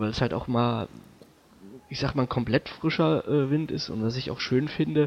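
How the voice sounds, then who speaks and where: The speaker uses lively intonation at a moderate pace. Long pauses come often. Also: man, medium pitch for a man. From Thuringia, Germany (Arnstadt near Erfurt). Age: 30s. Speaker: football fan, podcast panelist. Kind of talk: casual chat.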